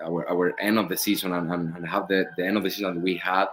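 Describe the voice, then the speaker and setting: This man speaks with a Spanish accent at a fairly low pitch. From Spain. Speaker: professional soccer goalkeeper. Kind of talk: interview. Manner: halting, many fillers and repeats.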